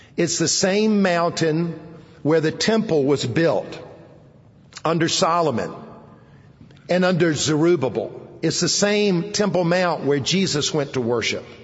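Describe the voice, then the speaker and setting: Through noticeable background noise, a high-pitched man speaks at a fairly slow pace, with long, frequent pauses, very even loudness, and ordinary pitch variation. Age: 60s. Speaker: preacher. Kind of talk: sermon. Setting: campus chapel service.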